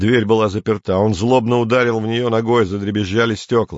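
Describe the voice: Plain reading aloud, delivered with fairly even intonation.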